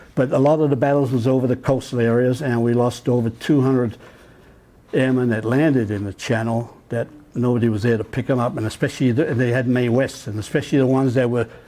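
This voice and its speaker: Fairly even in intonation, this man's voice carries a dark, mellow tone. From England, East London. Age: 80s+. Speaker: war veteran speaker. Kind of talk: talk to an audience.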